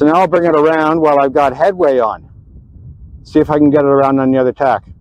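A man's fast, fairly high voice with fairly even intonation and a dry, close sound with no echo.

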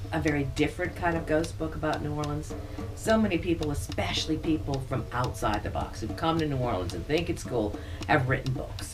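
Clear music plays in the background. The speaker talks at a fairly quick pace. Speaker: priestess, interviewee. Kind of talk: interview answer. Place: home room.

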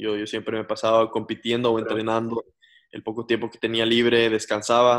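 A man's flat, monotone voice at a moderate pace over a quiet background. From Ecuador. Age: 20s. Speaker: racing driver; interviewee. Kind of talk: interview; interview answer. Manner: halting, many fillers. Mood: relaxed, reflective, sometimes cheerful. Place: home room. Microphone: video call.

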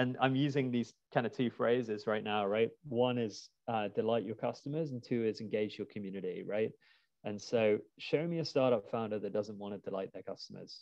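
Against a quiet background and with a dry sound with no echo, a man with a British accent speaks at a moderate pace, medium in pitch with ordinary pitch variation. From UK. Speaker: crowdfunding platform executive. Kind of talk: webinar interview. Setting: video call. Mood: relaxed, friendly. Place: home room. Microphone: earbuds.

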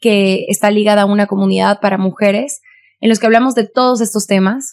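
A woman's fairly high voice with fairly even intonation, against a quiet background. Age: 20s. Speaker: beauty pageant contestant and activist; podcast guest. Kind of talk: casual chat. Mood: earnest, indignant on violence. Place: studio. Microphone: studio mic.

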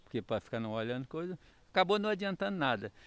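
A man's voice comes through in a dry sound with no echo. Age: 60s. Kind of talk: news interview. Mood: upset, recounting a loss. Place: street. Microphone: handheld.

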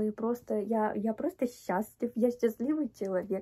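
A woman speaks at a moderate pace in a dark, mellow tone with ordinary pitch variation. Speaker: vlogger. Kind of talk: casual vlog chat. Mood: happy, grateful. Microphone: phone near.

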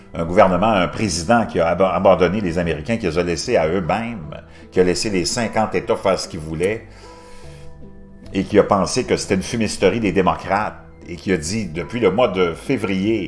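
A man speaks at a moderate pace in a very deep, low voice, with faint music playing in the background. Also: ordinary pitch variation. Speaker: news commentator youtuber. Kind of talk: commentary.

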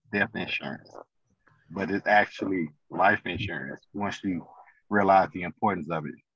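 A man's very deep, low voice moves along fairly quickly. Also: dry sound with no echo. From St. Louis, Missouri; Missouri. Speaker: financial consultant; podcast guest. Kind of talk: interview. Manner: halting, many fillers. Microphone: video call.

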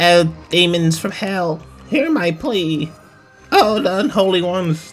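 A put-on character voice at a middle pitch, fairly slow, with faint music in the background. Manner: dramatic, ominous.

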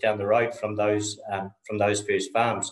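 A man's fairly low voice with a New Zealand accent, at a moderate pace, over a quiet background with audible room echo. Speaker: dairy farmer. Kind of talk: conference presentation. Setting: video call. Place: home room. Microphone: video call.

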